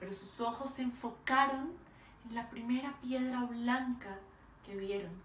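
Speaking at a fairly slow pace, a woman uses a high pitch with ordinary pitch variation, with audible room echo and light background noise. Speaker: oral storyteller. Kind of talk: dramatic oral storytelling performance of a parable. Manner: slow, vivid descriptive pacing lingering on imagery; emotive, building to sorrowful intensity. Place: home room. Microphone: phone near.

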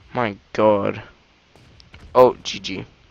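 A man's fairly low voice in a dry sound with no echo. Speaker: video game commentator. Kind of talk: casual gameplay commentary. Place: home room.

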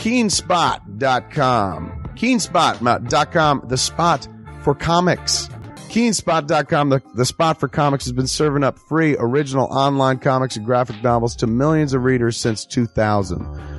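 Against faint music in the background, a man speaks at a fairly slow pace and medium pitch, the sound dry with no echo. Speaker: filmmaker, podcast host. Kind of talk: improvised radio ad read. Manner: casual, joking. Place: studio.

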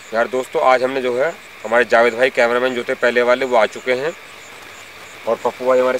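Delivered at a moderate pace in a monotone, flat intonation, the speech has a dry sound with no echo and light background noise. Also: man. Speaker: ghost-hunt vlogger. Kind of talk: casual vlog chat. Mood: earnest, slightly suspenseful. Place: forest.

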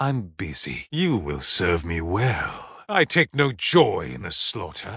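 A man puts on a character voice, low-pitched with vocal fry and a slightly husky edge. He talks at a slow pace with big pitch swings. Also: very clean recording, silent background.

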